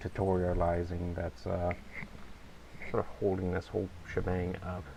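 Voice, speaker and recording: Someone mumbles at a fairly slow pace. Noticeable background noise is present. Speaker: let's play gamer. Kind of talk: casual gameplay commentary. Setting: low-quality home mic. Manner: mumbling.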